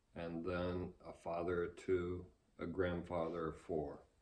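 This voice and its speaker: A man speaks with a very deep, low pitch and a dark, mellow tone. His pace is very slow. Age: 60s. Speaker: interviewee, grandfather. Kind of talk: interview. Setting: at home.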